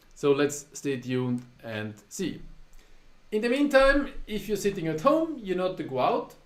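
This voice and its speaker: A man with a German accent speaks at a fairly slow pace. His pitch is high and swings very widely. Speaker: poker tournament director and live streamer. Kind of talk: casual live stream monologue. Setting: live stream.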